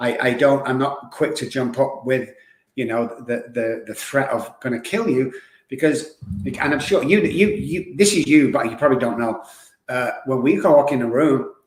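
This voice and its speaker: Audible room echo around a fairly high male voice with ordinary pitch variation. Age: 60s. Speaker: addiction recovery expert. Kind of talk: podcast interview. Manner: animated.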